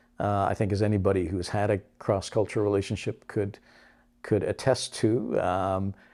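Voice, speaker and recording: With a Canadian accent, a man talks at a moderate pace in a dark, mellow tone, his pitch fairly low and his intonation fairly even, on a very clean recording with a silent background. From Canada. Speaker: broadcaster and voice over artist. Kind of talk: interview answer.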